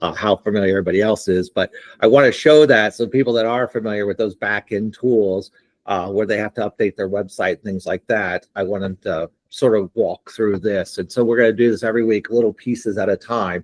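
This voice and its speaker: A man speaks at a fairly quick pace in a normal speaking voice, his fairly low pitch held to fairly even intonation, with a dry, close sound and no echo. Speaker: platform founder demoing software. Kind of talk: live software demo on video call.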